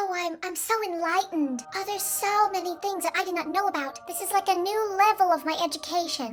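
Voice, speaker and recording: In a put-on character voice at an extremely high pitch, a woman speaks at a fairly quick pace with hardly any pauses over clear background noise. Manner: gushing, exaggerated.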